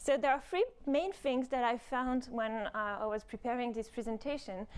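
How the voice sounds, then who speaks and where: A woman's fairly high voice with a French accent. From France. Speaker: robotics professor. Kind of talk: conference talk. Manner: hesitant, many fillers.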